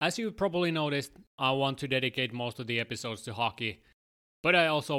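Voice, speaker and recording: In a very clean recording with a silent background, a man with a Finnish accent speaks at a fairly quick pace in a bright, sharp tone with ordinary pitch variation. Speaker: sports podcast host. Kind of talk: solo podcast monologue.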